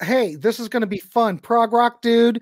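Against a quiet background, a man talks at a fairly quick pace in an extremely high pitch with fairly even intonation. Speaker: podcast host. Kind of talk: casual live-stream chat. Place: home room. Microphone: studio mic.

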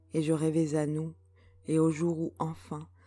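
A woman's calm, very deep, low voice at a very slow pace, with music in the background. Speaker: poet. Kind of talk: poetry reading.

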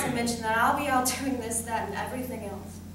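A woman speaks over noticeable background noise. Audible room echo fills the recording. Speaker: student actor. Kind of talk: dramatic monologue. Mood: sad, emotional. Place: stage.

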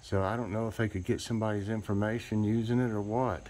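Dark, mellow male tone, moderate in pace. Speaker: home vlogger. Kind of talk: casual vlog chat. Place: street. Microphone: phone near.

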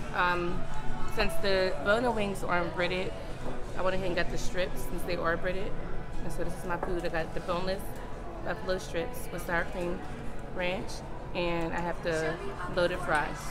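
Clear music plays in the background. The speech moves at a moderate pace with long, frequent pauses. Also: woman. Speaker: mother vlogger. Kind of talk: casual vlog chat. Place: cafe. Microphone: phone near.

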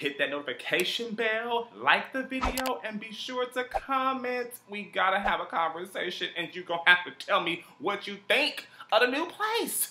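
A raised, projected voice speaks at a moderate pace. Noticeable background noise is present. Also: man. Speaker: vlogger. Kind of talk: casual vlog chat. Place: home room.

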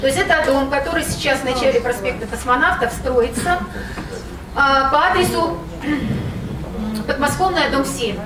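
Noticeable background noise sits behind a woman with a high pitch. Her intonation is lively. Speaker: local resident. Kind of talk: public hearing speech. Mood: critical, complaining. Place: hall.

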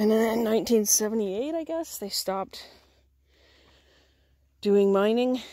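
Against a quiet background, a woman speaks at a fairly slow pace with ordinary pitch variation, the sound dry with no echo. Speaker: camper vlogger. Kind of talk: casual vlog chat. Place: forest. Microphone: phone near.

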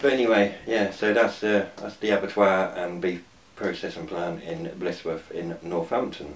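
A man with a fairly low pitch speaks at a moderate pace, with audible room echo around him. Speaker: urban explorer vlogger. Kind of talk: casual vlog chat. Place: home room. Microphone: phone near.

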